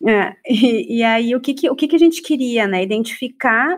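Here a woman talks with a high pitch at a moderate pace. Her intonation is lively. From Porto Alegre, southern Brazil. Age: 40s. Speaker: psychologist and researcher. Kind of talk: panel discussion.

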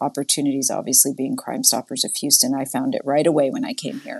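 In a quiet background, a woman speaks with an American accent. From Massachusetts (Framingham, near Boston). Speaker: nonprofit CEO. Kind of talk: interview.

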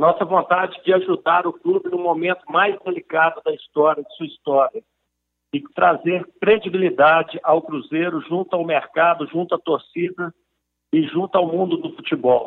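The speaker talks at a moderate pace. Loudness swings widely, while the pitch varies in an ordinary way. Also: man, high pitch for a man. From Brazil, Belo Horizonte (Minas Gerais). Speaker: businessman and football club presidential candidate. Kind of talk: interview.

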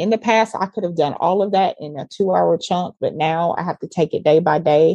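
With a Southern US accent, the voice has a dark, mellow tone and ordinary pitch variation. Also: woman, dry, close sound with no echo. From US South, Georgia. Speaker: ministry leader and mom. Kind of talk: casual chat, faith conversation.

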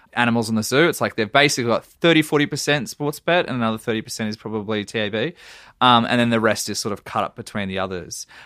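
A man with an Australian accent at a medium pitch, very fast pace, ordinary pitch variation and a bright, sharp tone, in a very clean, silent recording with a dry, close sound and no echo. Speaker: journalist. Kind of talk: casual chat.

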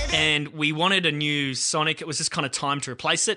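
A man with an Australian accent and a bright, sharp tone, at a moderate pace with fairly even intonation, against a quiet background. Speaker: radio producer and podcast host. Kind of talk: casual chat.

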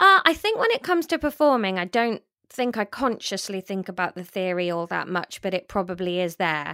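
A woman in a British accent, medium-pitched with a bright, sharp tone, fairly quick pace and lively intonation, on a very clean recording with a silent background and a dry, close sound with no echo. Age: 30s. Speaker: comedian and author. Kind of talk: interview.

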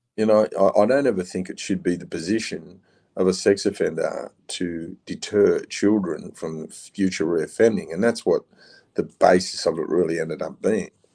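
Talking at a moderate pace, a man uses an Australian accent. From Queensland, Australia. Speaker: former prisoner and abuse survivor advocate. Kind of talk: interview, life story. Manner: animated.

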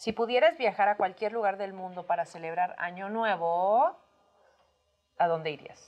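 At a fairly slow pace, a woman speaks in an unremarkable speaking voice. Her pitch is medium, with ordinary variation. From Mexico, Tamaulipas. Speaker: podcast co-host. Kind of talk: casual chat.

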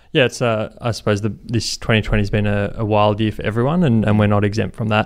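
Over a very clean recording with a silent background, a man talks at a very fast pace in a fairly low pitch with ordinary pitch variation. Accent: Australian. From Brisbane, Australia. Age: 20s. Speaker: charity co-founder. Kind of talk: interview. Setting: office.

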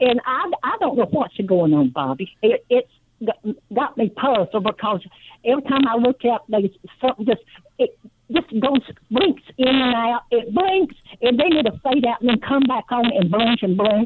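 Loudness stays very even as a woman speaks at a high pitch with lively intonation. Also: moderate pace. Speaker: caller. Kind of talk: call-in talk radio. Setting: phone call. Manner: halting.

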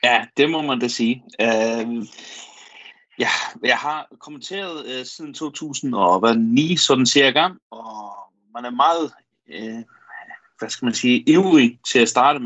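Very slow speech with long, frequent pauses, ordinary pitch variation and big swings in loudness. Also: man, medium pitch for a man. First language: Faroese (speaking Danish). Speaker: football commentator and correspondent. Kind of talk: radio interview. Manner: halting, many fillers.

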